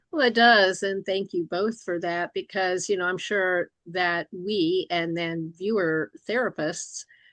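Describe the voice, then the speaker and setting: A woman with an unremarkable speaking voice talks at a fairly slow pace, her medium pitch showing ordinary pitch variation. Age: 60s. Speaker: licensed professional counselor and interviewer. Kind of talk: interview discussion.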